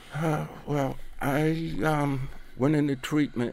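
A man talks at a very slow pace with medium pitch. The recording is very clean, with a silent background. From Baltimore, Maryland (East Baltimore). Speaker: person in long-term addiction recovery. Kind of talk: interview testimony.

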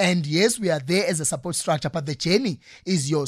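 His intonation is lively. A man speaks with a high pitch. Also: very clean recording, silent background. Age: 30s. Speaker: life and career coach. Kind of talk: interview. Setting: studio.

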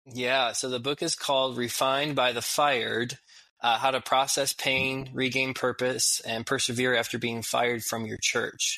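Noticeable background noise accompanies a man speaking at a moderate pace. His medium-pitched voice stays monotone and flat. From Chicago suburbs. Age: 30s. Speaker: senior pastor. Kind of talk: radio interview.

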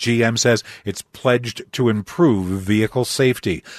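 With a plain, everyday voice at medium pitch, a man talks fairly slowly against a quiet background, the sound dry and close with no echo. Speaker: radio news anchor. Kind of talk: radio news reading.

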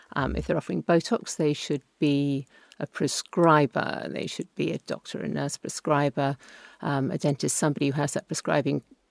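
A woman's very deep, low voice with vocal fry in a very clean recording with a silent background. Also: dry, close sound with no echo. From England. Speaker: beauty journalist. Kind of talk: expert advice.

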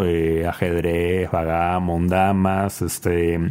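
The speaker is a man. His voice sits very deep and low in pitch. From Peru. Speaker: board game distributor. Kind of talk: interview.

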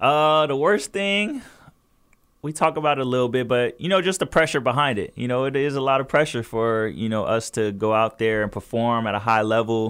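With an American accent, a man talks at a fairly quick pace in a plain, everyday voice, medium in pitch and with lively intonation. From Southern California, Inland Empire. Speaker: professional basketball player. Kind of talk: interview.

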